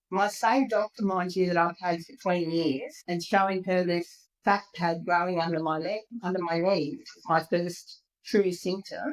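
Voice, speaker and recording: A woman's medium-pitched voice with an Australian accent, ordinary pitch variation, and big swings in loudness. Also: moderate pace. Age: 60s. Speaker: patient sharing her health story. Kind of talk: podcast interview.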